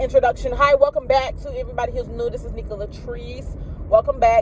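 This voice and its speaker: There is noticeable noise in the background as a woman talks rather quickly. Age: 30s. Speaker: vlogger and medical assistant student. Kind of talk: casual vlog chat.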